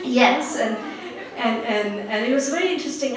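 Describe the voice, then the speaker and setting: Lively intonation and a moderate pace come through audible room echo and noticeable background noise. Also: woman. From Bangladesh. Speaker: professor. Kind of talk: personal talk to an audience.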